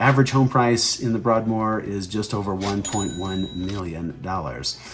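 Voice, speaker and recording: A man talks at a moderate pace in a fairly low voice with ordinary pitch variation. Noticeable background noise runs underneath. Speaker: real estate agent. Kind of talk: informational video.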